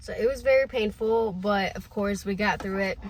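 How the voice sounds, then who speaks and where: A woman speaks with a Spanish accent. Her voice is somewhat breathy. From Honduras. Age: 20s. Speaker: online business vlogger. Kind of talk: personal vlog storytelling. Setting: home, no studio. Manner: casual, with fillers.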